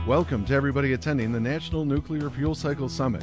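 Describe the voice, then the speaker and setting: A man's medium-pitched voice at a very fast pace, with music in the background. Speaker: voice actor. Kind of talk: event welcome announcement.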